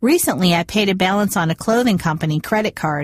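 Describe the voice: The clip is a plain reading aloud.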